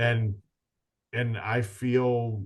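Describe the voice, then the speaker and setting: Over a quiet background, a man speaks in a somewhat breathy voice. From New England. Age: 50s. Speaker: business owner. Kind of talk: podcast interview.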